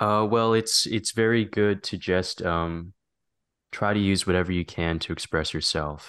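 With a plain, everyday voice, a man speaks fairly slowly at a fairly low pitch and with fairly even intonation against a quiet background. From Canada. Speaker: filmmaker, actor. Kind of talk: casual interview chat.

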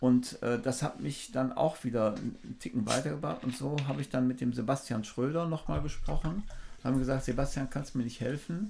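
Vocal fry runs through a man's dark, mellow voice as he talks at a fairly quick pace. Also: medium pitch for a man, ordinary pitch variation. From Germany, Düsseldorf. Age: 60s. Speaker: photographer and former drummer. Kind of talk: casual interview chat. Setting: outdoors by the sea.

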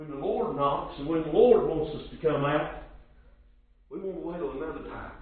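Speaking with a rural Southern US accent, a man talks at a moderate pace, his loudness swinging widely over noticeable background noise. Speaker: preacher. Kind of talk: sermon. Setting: church. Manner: repetitive, stammering, halting cadence with stuttered word repeats; earnest, exhorting, rhetorical questions to the congregation.

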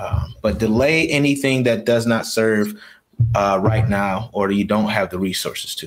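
Lively in intonation, an ordinary speaking voice comes through in an American accent. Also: man. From Rochester, New York. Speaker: business coach and army veteran. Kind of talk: interview. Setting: live stream.

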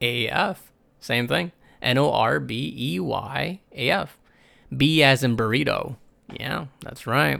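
A man with an American accent speaks at medium pitch in a bright, sharp tone with vocal fry and very wide pitch swings, on a very clean recording with a silent background. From New York. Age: young. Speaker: podcast host. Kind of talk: casual solo monologue. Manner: rambling, lots of filler words; profane, laid-back slang.

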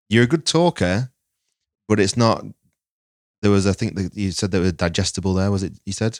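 A man with a Lancashire accent speaks at a fairly quick pace in a fairly low voice, with ordinary pitch variation and long, frequent pauses, recorded dry and close with no echo on a very clean track with a silent background. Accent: northern English (Lancashire). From northern England (Lancaster, Lancashire). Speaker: filmmaker. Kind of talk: casual chat.

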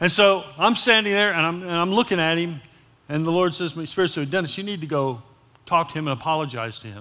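A man's high-pitched voice, very fast and lively in intonation, bright and sharp in tone, on a very clean recording with a silent background. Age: 70s. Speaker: pastor. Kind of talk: sermon.

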